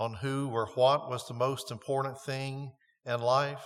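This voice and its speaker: The recording is very clean, with a silent background. A man with a plain, everyday voice speaks at a medium pitch with fairly even intonation. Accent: American. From North Carolina. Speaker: pastor. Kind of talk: sermon. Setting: church.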